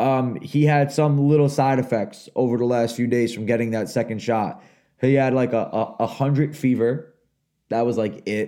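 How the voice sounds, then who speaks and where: Here a man speaks at a medium pitch. His tone is dark and mellow. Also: fairly even intonation, moderate pace. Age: 30s. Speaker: podcast co-host and youth basketball coach. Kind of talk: casual chat.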